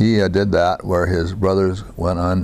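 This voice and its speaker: Noticeable background noise sits behind a man with an American accent. He speaks very slowly in a very deep, low voice. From US Midwest, Iowa. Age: 80s+. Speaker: war veteran. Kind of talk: oral history interview. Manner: halting, many fillers.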